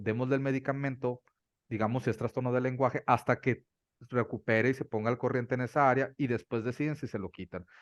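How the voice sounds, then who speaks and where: A man talks at a very fast pace with a medium pitch and fairly even intonation. The sound is dry and close with no echo, over a quiet background. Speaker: doctor specializing in ADHD. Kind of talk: interview on ADHD treatment.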